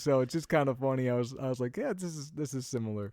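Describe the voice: A man talks fast at a medium pitch with lively intonation. His tone is slightly mellow.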